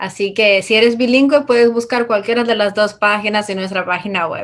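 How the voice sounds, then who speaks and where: A woman with a Dominican accent and a fairly high pitch. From Dominican Republic. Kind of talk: interview.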